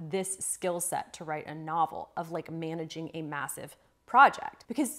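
A woman with a fairly low, bright, sharp voice, moderate pace, ordinary pitch variation and big swings in loudness, against a quiet background. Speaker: writing coach. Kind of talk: tutorial. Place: home room.

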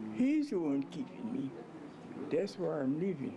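A woman speaks at a fairly slow pace with very wide pitch swings. Noticeable background noise runs underneath. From Louisiana. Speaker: birthday celebrant. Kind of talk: interview answer. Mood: content, devout. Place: home room.

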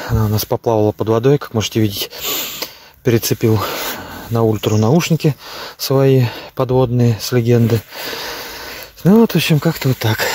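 Speech at a moderate pace with ordinary pitch variation is broken up by long, frequent pauses. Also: man, dry sound with no echo. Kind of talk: casual vlog chat. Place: waterside. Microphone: phone near.

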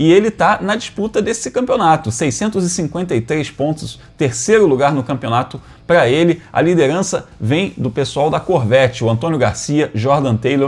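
His pitch swinging very widely, a man talks at a fairly slow pace. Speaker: motorsport news host. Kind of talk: commentary. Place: home room. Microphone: lapel.

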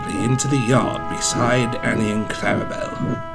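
Natural-voiced reading aloud, pitch moving in an ordinary way

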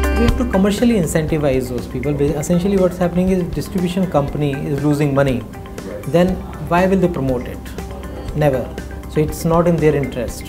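A man's fairly high voice at a very fast pace, with ordinary pitch variation and clear music in the background. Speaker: company founder and CEO. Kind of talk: interview answer. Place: office. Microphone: lapel.

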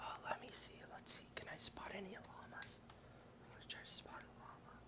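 A whisper at a moderate pace. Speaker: gamer. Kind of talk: gaming commentary. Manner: whispered.

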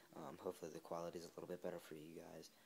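Light background noise runs under a man's voice. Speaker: seller showing lacrosse gear. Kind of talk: casual vlog chat. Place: home room. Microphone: phone near.

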